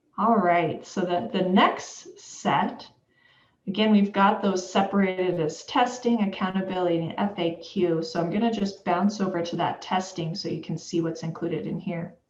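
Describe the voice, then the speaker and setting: At a moderate pace, a woman speaks at a medium pitch with fairly even intonation amid audible room echo. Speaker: education official presenting webinar. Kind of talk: webinar presentation.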